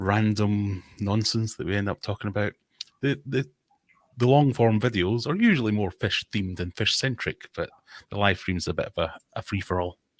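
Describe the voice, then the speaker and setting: A man with a Scottish accent speaks at a moderate pace, his pitch fairly low with ordinary variation. The sound is dry and close, with no echo. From Scotland. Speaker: fishkeeping content creator. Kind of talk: casual chat. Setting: live stream video call.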